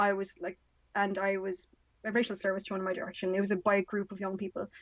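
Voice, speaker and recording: With an Irish accent, a woman talks at a very fast pace. Her intonation is monotone and flat, and the sound is dry and close with no echo. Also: medium pitch for a woman. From Ireland. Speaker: author and activist. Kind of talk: podcast interview.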